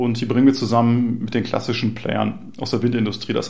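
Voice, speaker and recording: A man talks at a medium pitch with vocal fry. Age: 40s. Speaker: startup founder and CEO. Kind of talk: interview. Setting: in person at a startup venue. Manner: frequent hesitation fillers.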